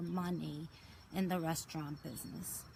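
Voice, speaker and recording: Somewhat breathy, a woman talks with fairly even intonation. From Portugal. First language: Portuguese. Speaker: detox and raw lifestyle coach. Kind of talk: personal story monologue. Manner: halting, many filler words.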